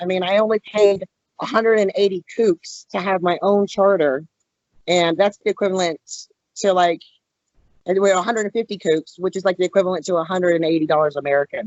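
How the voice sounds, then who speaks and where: A woman speaks at a very fast pace. Her pitch is medium and her intonation fairly even. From Louisiana. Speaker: fishing magazine writer and editor. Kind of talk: podcast interview.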